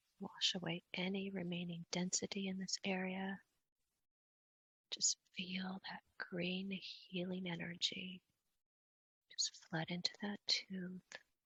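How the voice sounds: A woman speaks at medium pitch and a fairly slow pace, with little pitch movement. Her bright, sharp tone carries a husky, rough edge in a dry, close sound with no echo.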